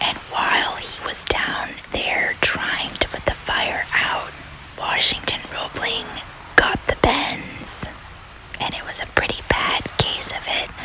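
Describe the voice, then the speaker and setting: Whispering at a very slow pace, this voice comes with noticeable background noise. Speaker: whispering ASMR walking-tour host. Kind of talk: whispered ASMR history narration outdoors. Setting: outdoors on a city street with ambient noise. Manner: whispered, humorous.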